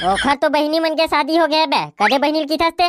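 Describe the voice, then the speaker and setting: Using a cartoonish character voice, a woman with a high pitch talks at a very fast pace with very even loudness, in a dry, close sound with no echo. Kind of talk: cartoon comedy. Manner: blunt, rough, teasing.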